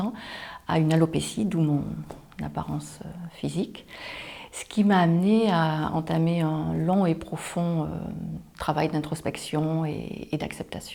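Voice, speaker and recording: An unremarkable speaking voice from a woman, fairly low in pitch, at a fairly slow pace with ordinary pitch variation. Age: 50s. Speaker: job seeker, former flight attendant. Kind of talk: self-presentation interview.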